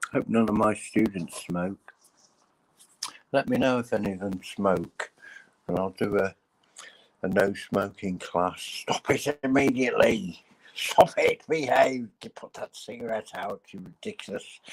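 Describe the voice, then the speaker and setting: A man with an English accent at a fairly slow pace, with long, frequent pauses, big swings in loudness, and a dry, close sound with no echo. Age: 60s. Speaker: live streamer. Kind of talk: casual chat.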